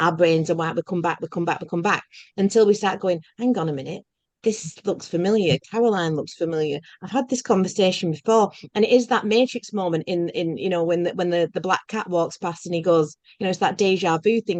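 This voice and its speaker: A woman at a medium pitch with ordinary pitch variation and a fairly quick pace. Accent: Lancashire. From northern England, Bolton. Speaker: podcast host. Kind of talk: casual spiritual conversation.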